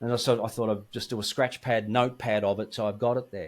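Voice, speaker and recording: On a very clean recording with a silent background, a man with an Australian accent speaks at a fairly quick pace. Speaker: guitarist. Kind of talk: interview. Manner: animated.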